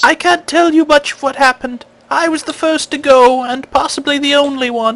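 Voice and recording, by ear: Someone does a put-on character voice at a high pitch and a moderate pace.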